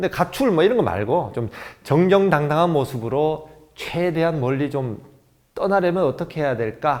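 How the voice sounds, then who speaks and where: A man's normal speaking voice at a moderate pace. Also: fairly high pitch for a man, lively intonation. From South Korea, Gyeongnam (Jinju). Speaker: DJ and motivational speaker. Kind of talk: motivational lecture.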